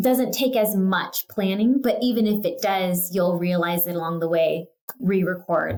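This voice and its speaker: A woman with an American accent and a plain, everyday voice talks at a fairly slow pace and medium pitch, with ordinary pitch variation. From California. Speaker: real estate agent. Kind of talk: casual interview. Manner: casual, filler words (um, like).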